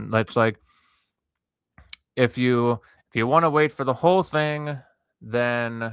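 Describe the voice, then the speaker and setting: The man speaks at a very slow pace. His pitch is medium. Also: dry, close sound with no echo, very clean recording, silent background. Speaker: art streamer. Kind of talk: casual livestream chat, reading a campaign page aloud. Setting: livestream. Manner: stuttering; casual.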